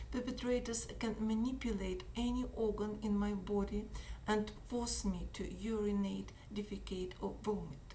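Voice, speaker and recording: Noticeable background noise and audible room echo accompany a woman speaking at a moderate pace with a Russian accent. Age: 60s. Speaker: activist. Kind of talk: reading aloud. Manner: halting.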